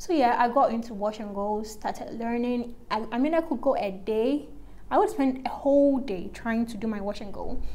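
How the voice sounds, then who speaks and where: This woman's voice sits high in pitch and moves at a moderate pace. Her pitch varies in an ordinary way. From Ghana. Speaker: YouTuber, natural hair vlogger. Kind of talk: casual chat while doing makeup. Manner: chatty, filler-heavy. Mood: relaxed, conversational. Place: home room. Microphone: phone near.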